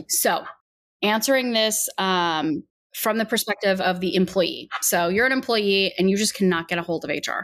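In a very clean recording with a silent background, a woman with medium pitch and ordinary pitch variation uses a normal speaking voice at a moderate pace. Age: 30s. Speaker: podcast co-host, HR professional. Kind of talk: casual chat.

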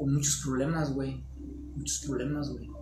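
A man speaks with a Mexican accent. The room echo is audible, and there is noticeable background noise. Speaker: guest on spiritual talk show. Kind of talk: casual chat.

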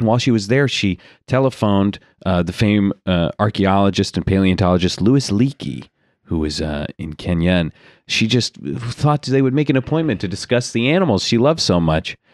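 A man with a normal speaking voice talks at a fairly quick pace and fairly low pitch with lively intonation, in a dry, close sound with no echo on a very clean recording with a silent background. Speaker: comedy podcast host. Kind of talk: improv comedy chat. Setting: studio. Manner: laughs often.

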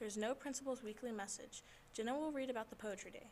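Fairly quick and fairly high in pitch, a woman with a normal speaking voice keeps her intonation fairly even. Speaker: school club announcer. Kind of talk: reading aloud.

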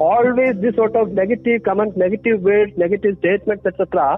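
Music plays in the background as a man with a high pitch speaks at a fairly quick pace with fairly even intonation. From Kerala, India. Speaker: behavioral scientist and author. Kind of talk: interview. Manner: hesitant with frequent fillers.

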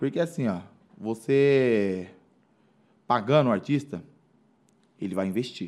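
Pausing long and often, a man speaks at a fairly slow pace in a medium pitch with lively intonation. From Brazil, Mairinque (São Paulo state). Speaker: former athlete and musician. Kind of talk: casual interview chat. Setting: studio.

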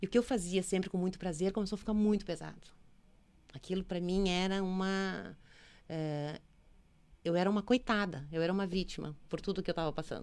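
Speaking at a fairly quick pace with long, frequent pauses, a woman keeps a medium pitch and fairly even intonation. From Brazil, Rio Grande do Sul (Santo Ângelo). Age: 50s. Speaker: entrepreneur, women's network founder. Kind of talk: interview, personal life story. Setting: studio.

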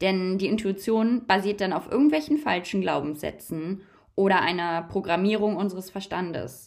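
Using an ordinary speaking voice, a woman of medium pitch talks at a moderate pace with lively intonation on a very clean recording with a silent background. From Germany. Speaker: holistic coach and spiritual podcaster. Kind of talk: spiritual monologue.

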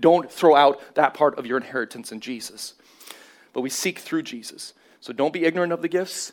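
In a plain, everyday voice, a man with a fairly high pitch speaks at a fairly quick pace, with ordinary pitch variation and big swings in loudness. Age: 40s. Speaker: pastor. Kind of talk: sermon. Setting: church.

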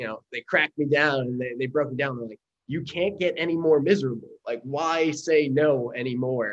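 At a moderate pace, a man talks in a normal speaking voice with fairly even intonation. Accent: American. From US Northeast, Long Island, New York. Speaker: army veteran and company founder. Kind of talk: interview.

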